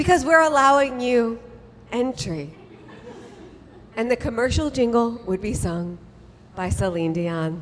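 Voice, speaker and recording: A woman with a fairly high pitch speaks at a fairly slow pace with very wide pitch swings and long, frequent pauses, over noticeable background noise. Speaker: author and storyteller. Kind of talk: live storytelling reading of a comic memoir. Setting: live stage with audience. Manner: comedic, conversational.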